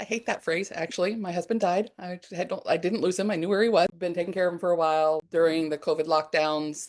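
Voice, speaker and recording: With a plain, everyday voice, a woman talks at a fairly quick pace and medium pitch, with ordinary pitch variation and hardly any pauses. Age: 50s. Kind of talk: interview answer.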